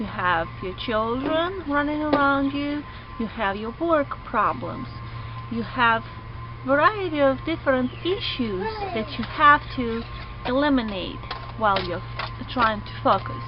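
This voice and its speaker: A woman with a non-native accent at a fairly slow pace, with audible room echo and music in the background. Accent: non-native English, working on pronunciation. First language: not English. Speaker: online student. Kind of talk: vlog.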